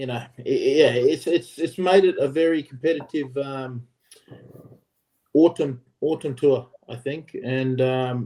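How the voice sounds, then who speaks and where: Man in an Australian accent, with a dark, mellow tone and a fairly high pitch. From Australia, Queensland. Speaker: former rugby player. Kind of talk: casual chat.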